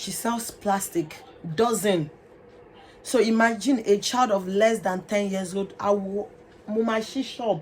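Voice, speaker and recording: Over noticeable background noise, a woman with a Nigerian accent speaks at a fairly slow pace and medium pitch, with ordinary pitch variation and long, frequent pauses. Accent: Nigerian (Yoruba) English. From Nigeria, Lagos. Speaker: vlogger. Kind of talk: personal testimony.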